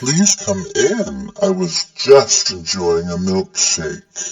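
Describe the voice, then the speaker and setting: A man's very slow, high-pitched put-on character voice. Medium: audio drama. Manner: detached, otherworldly.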